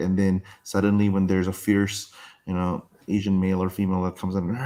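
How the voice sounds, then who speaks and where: A dark, mellow tone carries this moderately paced speech. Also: man. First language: not English. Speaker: online game player. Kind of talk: casual chat.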